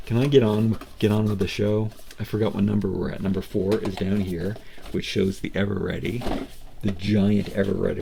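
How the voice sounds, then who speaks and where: A man with a fairly low pitch and monotone, flat intonation is heard through noticeable background noise and audible room echo. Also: fairly quick pace. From Canada, Nova Scotia Atlantic coast. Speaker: toy reviewer and miniature collector. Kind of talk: unboxing review, casual monologue. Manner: halting, with frequent repetitions and fillers.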